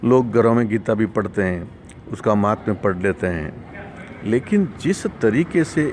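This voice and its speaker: Over noticeable background noise, a man speaks at a medium pitch with lively intonation. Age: 60s. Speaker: course participant sharing testimony. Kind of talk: testimony. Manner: halting.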